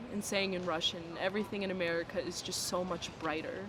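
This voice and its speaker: Amid noticeable background noise, a woman talks at a fairly quick pace in a medium pitch with monotone, flat intonation. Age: young. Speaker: university student. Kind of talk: interview.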